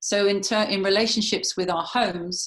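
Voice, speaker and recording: This woman has a plain, everyday voice at medium pitch with fairly even intonation. The background is quiet. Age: 50s. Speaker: feng shui consultant and healer. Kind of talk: interview talk.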